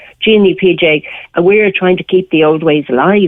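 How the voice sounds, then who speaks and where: A woman speaks at a moderate pace with an Irish accent. Her pitch sits fairly low. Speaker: matchmaker. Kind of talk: radio interview.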